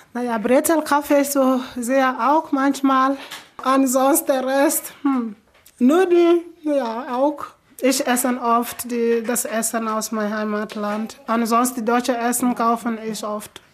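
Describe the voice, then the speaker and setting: A woman speaks at a high pitch and a very slow pace, with ordinary pitch variation. Noticeable background noise is present. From Sierra Leone. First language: not German; learned it in last four years (speaking German). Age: 20s. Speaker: refugee and nursing trainee. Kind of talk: interview. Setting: in her living room at home.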